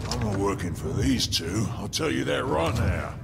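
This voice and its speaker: Loud background noise surrounds a man doing a cartoonish character voice. His pitch is very deep and low. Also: moderate pace. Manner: swaggering.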